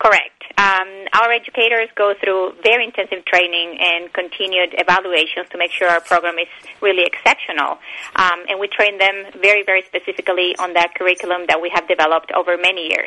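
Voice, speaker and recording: In a Spanish accent, a woman speaks at a fairly quick pace with medium pitch and monotone, flat intonation. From Bolivia and Argentina. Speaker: animal rights educator. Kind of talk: interview.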